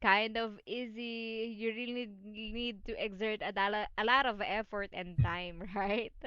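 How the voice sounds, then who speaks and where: A woman's fairly high voice, bright and sharp in tone, at a fairly slow pace with fairly even intonation. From Philippines. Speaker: online English tutor. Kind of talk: online English lesson.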